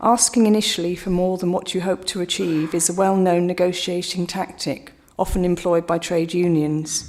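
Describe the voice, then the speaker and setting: This woman has an ordinary speaking voice, talking at a moderate pace with fairly even intonation and hardly any pauses. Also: fairly low pitch for a woman. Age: 60s. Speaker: objecting local resident. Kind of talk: prepared statement at council hearing. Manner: formal.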